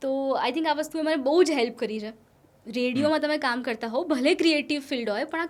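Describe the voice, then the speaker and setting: Her tone is confident as this woman speaks at a high pitch. Pitch variation is ordinary. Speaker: radio jockey. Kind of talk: podcast interview answer, casual conversational Gujarati mixed with English. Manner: lively, confident, witty.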